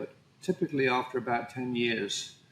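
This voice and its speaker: A man with an English accent speaks at a medium pitch. Noticeable background noise runs under his voice. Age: 60s. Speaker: painter. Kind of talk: interview conversation.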